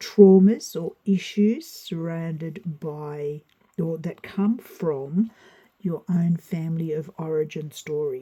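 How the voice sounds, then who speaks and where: A woman speaks very slowly in a fairly low, dark and mellow voice that is somewhat breathy. Her pitch varies in an ordinary way. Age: 60s. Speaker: tarot reader. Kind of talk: spoken tutorial.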